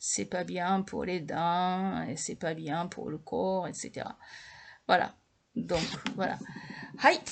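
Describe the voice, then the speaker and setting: With vocal fry and ordinary pitch variation, a woman talks at a fairly low pitch and a very slow pace, leaving long, frequent pauses. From Japan. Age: 60s. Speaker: language teacher. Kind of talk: lecture. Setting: home video recording at night. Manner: halting.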